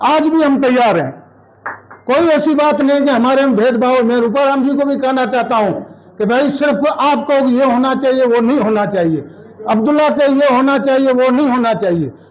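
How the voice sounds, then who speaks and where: With audible room echo and noticeable background noise, a man speaks at an extremely high pitch, his loudness very even and his pitch variation ordinary. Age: 60s. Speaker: local politician. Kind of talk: public speech at party meeting. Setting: party office meeting. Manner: forceful.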